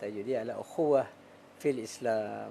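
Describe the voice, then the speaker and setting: The voice is a man's, dark and mellow in tone. He keeps a moderate pace. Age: 50s. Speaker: Islamic teacher and finance consultant. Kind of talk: casual religious talk.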